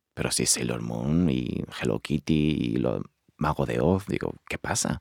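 A man's dark, mellow voice carries lively intonation, with a dry, close sound and no echo. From Spain. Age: 30s. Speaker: actor. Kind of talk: testimony.

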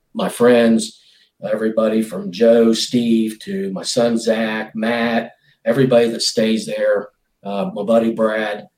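A man with an Appalachian accent talks at a medium pitch. His pace is fairly slow and his intonation fairly even. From West Virginia. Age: 50s. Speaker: bow hunter. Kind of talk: casual chat.

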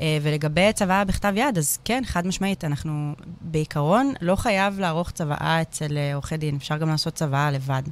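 With hardly any pauses, the delivery keeps to a moderate pace. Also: woman, very deep, low pitch for a woman, ordinary pitch variation. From Israel, Hadera. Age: 30s. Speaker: lawyer. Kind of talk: casual chat. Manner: halting, many fillers.

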